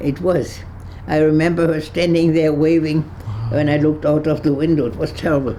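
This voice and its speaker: In a German accent, a speaker goes at a fairly quick pace with monotone, flat intonation, amid audible room echo and noticeable background noise. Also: woman, very deep, low pitch for a woman. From Germany, Berlin. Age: 80s+. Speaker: Holocaust-era refugee. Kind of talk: interview testimony. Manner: halting.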